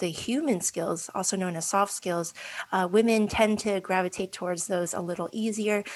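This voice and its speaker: With an ordinary speaking voice, a woman talks at a moderate pace and medium pitch, her pitch varying in an ordinary way. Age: 40s. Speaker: cybersecurity professional. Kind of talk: interview.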